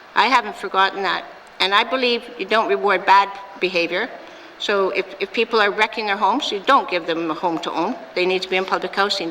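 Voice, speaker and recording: Noticeable background noise sits behind a woman's medium-pitched voice. She talks at a fairly quick pace. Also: ordinary pitch variation. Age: 60s. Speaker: premier, politician. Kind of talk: parliamentary debate answer. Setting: legislative assembly chamber.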